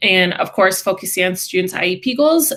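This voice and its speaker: A woman's medium-pitched voice with a Midwestern accent, at a moderate pace. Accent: Midwest. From Wisconsin. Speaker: special education teacher. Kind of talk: class introduction presentation.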